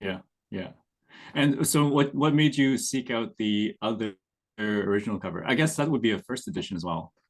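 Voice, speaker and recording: Over a quiet background, an ordinary speaking voice carries lively intonation at a moderate pace. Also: man, medium pitch for a man. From Canada. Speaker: picture book illustrator. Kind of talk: casual panel conversation.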